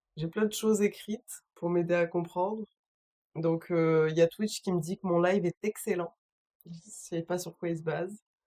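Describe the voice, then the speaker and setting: A woman speaks at a moderate pace with a fairly low pitch. Her intonation is monotone and flat, in a dry, close sound with no echo. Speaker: streamer. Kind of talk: casual live stream chat. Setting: home, solo live stream.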